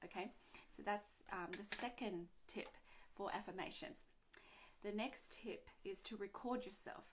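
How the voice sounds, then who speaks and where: At a fairly slow pace broken by long, frequent pauses, a woman speaks at medium pitch with ordinary pitch variation. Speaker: energy healing coach. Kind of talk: casual talk to camera. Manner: hesitant, filler words.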